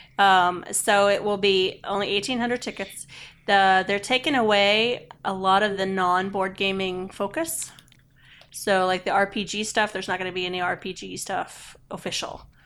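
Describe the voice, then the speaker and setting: This woman has a plain, everyday voice at a medium pitch. She speaks at a moderate pace with fairly even intonation. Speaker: podcast co-host.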